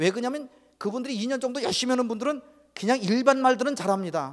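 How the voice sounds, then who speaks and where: At a fairly quick pace, a man speaks in an extremely high pitch. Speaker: missionary. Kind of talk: testimony.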